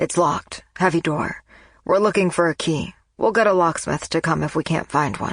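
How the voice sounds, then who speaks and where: Over a quiet background, a woman uses a raspy, put-on character voice with a fairly low pitch at a moderate pace. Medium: read story. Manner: calm, measured.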